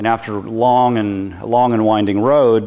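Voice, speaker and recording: A man talks at a fairly slow pace. He has a plain, everyday voice. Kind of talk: lecture. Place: workshop.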